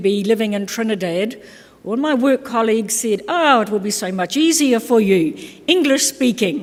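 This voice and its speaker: A woman with a New Zealand accent and a fairly high pitch talks at a moderate pace with lively intonation. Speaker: keynote speaker, labour organisation specialist. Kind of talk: conference keynote address. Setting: conference stage with audience.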